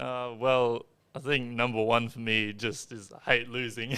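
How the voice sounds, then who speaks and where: A man with an Australian accent speaks at a medium pitch. His tone is bright and sharp, and his intonation is flat and monotone. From Australia, Darwin (Northern Territory). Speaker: esports gamer. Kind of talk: podcast interview. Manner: quiet, halting.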